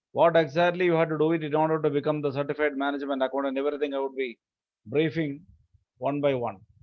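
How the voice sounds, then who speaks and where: This man has a fairly high pitch and talks very fast. His intonation stays fairly even. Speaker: finance education speaker. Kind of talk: lecture. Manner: formal.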